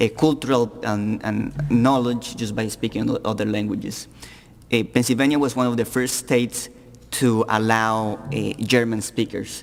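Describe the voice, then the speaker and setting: At a moderate pace, a man with a slight Colombian accent speaks at a medium pitch. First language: Spanish. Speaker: panelist. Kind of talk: panel discussion. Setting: public forum with audience. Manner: halting, repeats words.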